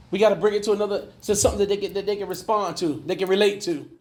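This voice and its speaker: Audible room echo surrounds a man speaking at a high pitch in an animated tone. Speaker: life coach and mentor. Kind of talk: conference talk to a men's group. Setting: conference room with live audience.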